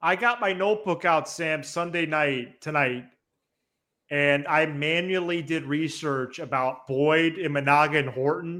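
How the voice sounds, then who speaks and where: An animated tone at a fairly slow pace, with ordinary pitch variation. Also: man, fairly high pitch for a man. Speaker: sports podcast host. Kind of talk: casual chat. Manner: loud.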